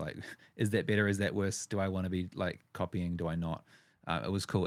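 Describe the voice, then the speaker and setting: On a very clean recording with a silent background, a man with a New Zealand accent speaks fairly quickly in a very deep, low pitch and fairly even intonation. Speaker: wedding videographer and podcast host. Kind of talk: casual interview chat. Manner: halting, with repetitions.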